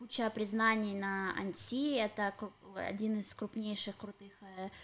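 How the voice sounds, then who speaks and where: Her intonation is flat and monotone. The woman speaks at a fairly slow pace with a medium pitch. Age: 30s. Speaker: podcast co-host. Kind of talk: casual chat. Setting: home apartment.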